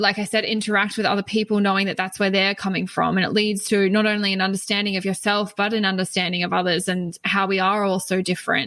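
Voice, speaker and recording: In an Australian accent, a woman rattles off words at a very fast pace with hardly any pauses, her tone bright and sharp, her intonation flat and monotone, her loudness very even. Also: medium pitch for a woman. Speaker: spiritual teacher. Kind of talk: podcast interview.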